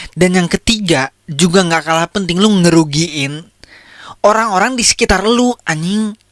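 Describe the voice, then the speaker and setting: A man speaks in a high, shrill voice at a fairly slow pace. His tone is animated. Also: ordinary pitch variation, dry, close sound with no echo. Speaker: podcast host. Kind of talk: casual commentary on viral content.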